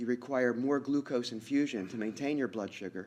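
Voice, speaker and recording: At a very fast pace, a man speaks at medium pitch in a dark, mellow tone with ordinary pitch variation against a quiet background. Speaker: medical researcher and professor. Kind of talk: conference presentation.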